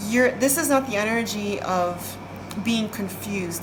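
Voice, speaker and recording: A woman is heard with noticeable background noise. Room echo is also audible. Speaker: tarot card reader. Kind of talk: psychic reading.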